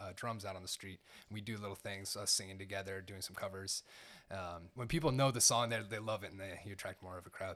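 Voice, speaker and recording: With an unremarkable speaking voice, a man talks at a fairly quick pace in a fairly low pitch, on a very clean recording with a silent background. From Seattle, Washington. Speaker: drum teacher and former street performer. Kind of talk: casual interview.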